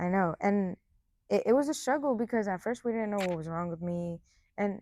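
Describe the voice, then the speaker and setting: Recorded very cleanly against a silent background, the speaker uses a Spanish accent, a moderate pace and ordinary pitch variation. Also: woman. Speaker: college soccer player. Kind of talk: interview. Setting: indoor sports facility.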